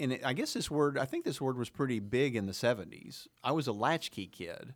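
An unremarkable speaking voice from a man, medium in pitch with ordinary pitch variation and an American accent, at a moderate pace on a very clean recording with a silent background. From Oklahoma. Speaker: podcast host. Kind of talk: casual chat. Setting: studio.

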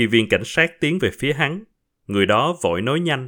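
A plain, everyday voice from a man, medium in pitch, at a fairly slow pace. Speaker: podcast host and storyteller. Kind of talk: reading aloud a short story.

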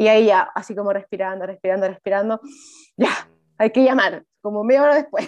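A woman talks at a fairly quick pace in a Chilean accent. Her pitch is fairly high, with ordinary variation. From Chile, Viña del Mar. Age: 20s. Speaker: journalist. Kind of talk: casual chat.

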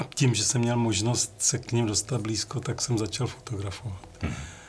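This man's voice sits at a medium pitch and is somewhat breathy. His pitch varies in an ordinary way. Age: old. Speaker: music photographer. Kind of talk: interview.

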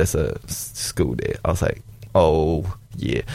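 Vocal fry runs through the speech, which moves at a fairly slow pace. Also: man. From Malaysia. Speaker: podcast producer behind the scenes, guest. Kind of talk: casual chat.

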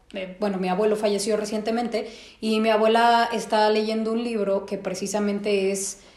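This woman has a Mexican accent and a medium pitch. She talks at a moderate pace, and the room echo is audible. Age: 30s. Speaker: psychologist and podcast host. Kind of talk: casual chat.

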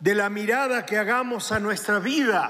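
A man speaks with ordinary pitch variation in audible room echo. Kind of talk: sermon.

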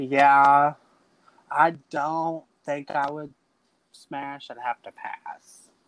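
A man's fairly high voice with a Texan accent, very slow pace, long, frequent pauses and big swings in loudness, in a dry, close sound with no echo. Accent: Texan US Southern. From Texas, Dallas. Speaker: drag queen. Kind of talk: casual chat. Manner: animated.

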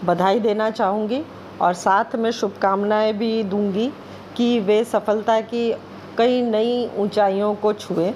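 Against noticeable background noise, a woman with a Bengali accent speaks at a fairly high pitch, monotone and flat, her loudness very even. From India, Madhya Pradesh (Bhopal). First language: Bengali (speaking Hindi). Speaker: guest reader. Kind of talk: reading aloud.

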